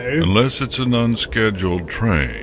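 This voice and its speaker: Over loud background noise, a man does a put-on character voice at medium pitch and a fairly slow pace. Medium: read story. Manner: wondering, curious.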